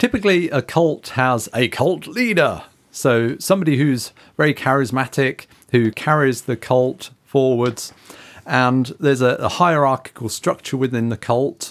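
Here is an unremarkable speaking voice at a moderate pace, with ordinary pitch variation. The recording is very clean and the background silent. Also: man, medium pitch for a man. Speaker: podcast co-host. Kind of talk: casual chat.

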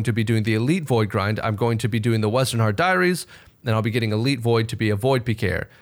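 The speech comes at a very fast pace. The speaker has an American accent. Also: man. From Texas. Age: 20s. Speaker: gaming content creator. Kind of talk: casual chat.

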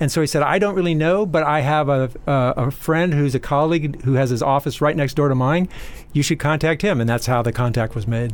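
In an unremarkable speaking voice, a man with a fairly high pitch talks at a fairly quick pace, with ordinary pitch variation and very even loudness. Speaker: exercise scientist and professor. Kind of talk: casual interview chat.

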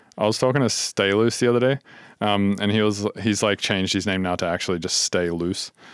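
With an Australian accent, a man speaks fairly quickly at a fairly low pitch, the recording very clean with a silent background and a dry, close sound with no echo. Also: fairly even intonation. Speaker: podcast host. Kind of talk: casual interview chat. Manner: casual, filler-heavy.

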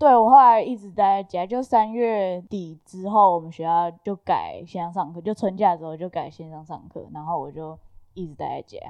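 A woman with an ordinary speaking voice at medium pitch, ordinary pitch variation, big swings in loudness, a moderate pace and hardly any pauses. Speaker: graduate student. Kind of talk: casual chat.

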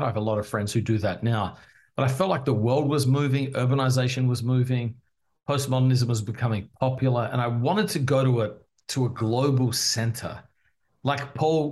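A man speaks at a fairly quick pace. His voice is somewhat breathy, with a medium pitch. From Australia, Adelaide. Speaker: pastor and author. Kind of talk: interview.

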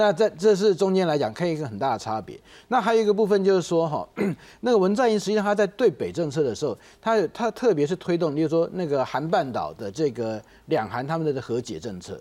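A man talks very fast in a high pitch with very wide swings, his tone dark and mellow. The recording is very clean, with a silent background. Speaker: think tank analyst. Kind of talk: political talk show. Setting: studio. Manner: halting, filler-heavy.

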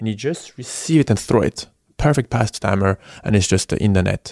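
A man with a French accent speaks at a fairly low pitch, in a very clean recording with a silent background and a dry, close sound with no echo. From France, Paris suburb. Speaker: professional hockey player. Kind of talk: interview. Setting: in-person in Paris.

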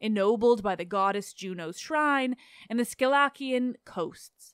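An ordinary speaking voice with ordinary pitch variation, at a fairly slow pace. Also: woman. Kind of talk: literary audiobook reading. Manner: steady, measured narration; formal, even-paced, flowing through long lists of place names.

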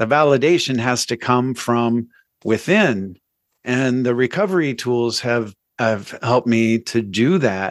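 A man's normal speaking voice at medium pitch, fairly slow, with ordinary pitch variation and very even loudness, on a very clean recording with a silent background. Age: 50s. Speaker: recovery coach and musician. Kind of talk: interview testimony.

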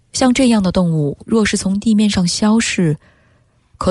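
Somewhat breathy, a woman's voice moves with lively intonation. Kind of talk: literary reading aloud of a Chinese essay, expressive narration. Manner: slow, sombre, emotive and mournful, lingering over the imagery of the suffering camels.

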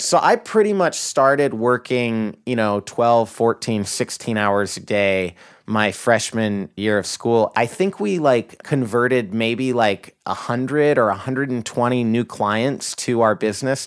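On a very clean recording with a silent background, a man with an American accent speaks fairly slowly with hardly any pauses, using an ordinary speaking voice of medium pitch and ordinary pitch variation. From rural Idaho, US. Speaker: company CEO. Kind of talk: interview.

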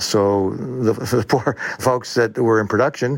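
This is a man with an ordinary speaking voice. His pitch is medium. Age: 60s. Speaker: manufacturing company president. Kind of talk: interview.

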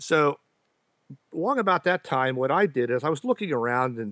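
With a normal speaking voice, a man of medium pitch talks at a moderate pace with lively intonation in a dry, close sound with no echo. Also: very clean recording, silent background. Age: 50s. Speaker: clarinetist. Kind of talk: casual chat.

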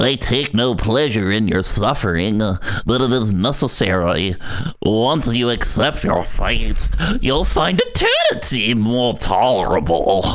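A low-pitched, put-on character voice delivers the lines at a fairly slow pace. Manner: creepy, ghoulish.

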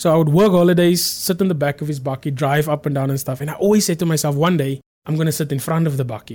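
A man rattles along at a very fast pace, hardly pausing at all, his voice at a fairly high pitch with ordinary pitch variation. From South Africa. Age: 30s. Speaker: agricultural business manager. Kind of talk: interview.

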